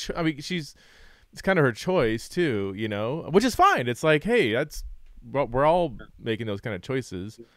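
A man's voice makes very wide pitch swings in a dry recording with no echo. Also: moderate pace, quiet background. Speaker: podcast host. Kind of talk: interview. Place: home room. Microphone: studio mic.

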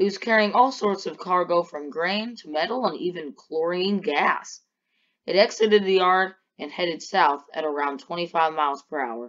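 This is a woman with an unremarkable speaking voice. Her pitch is medium and her pace moderate. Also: lively intonation. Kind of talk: documentary narration. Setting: Roblox game footage voiceover. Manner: formal, measured news-style delivery; matter-of-fact, steady pace.

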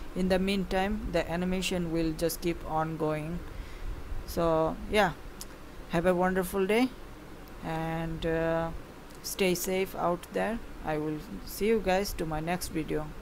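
A woman with a non-native accent, fairly low in pitch, at a fairly slow pace with long, frequent pauses. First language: not English. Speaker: YouTube gaming and animation creator. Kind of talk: casual monologue to viewers, subscriber milestone thanks. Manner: halting, hesitant, with fillers.

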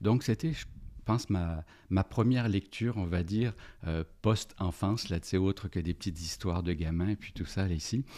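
A man with a very deep, low voice and a dark, mellow tone speaks at a moderate pace with ordinary pitch variation. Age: 50s. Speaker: organizational development consultant and business coach; business coach. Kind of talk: casual interview. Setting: podcast studio. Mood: warm, reflective. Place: studio. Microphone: studio mic.

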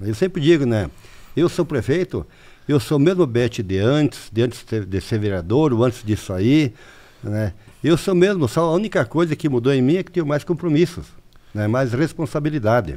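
A man with a dark, mellow tone lets his pitch swing very widely. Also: medium pitch for a man, moderate pace. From Santa Catarina, southern Brazil. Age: 60s. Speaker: mayor. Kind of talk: interview.

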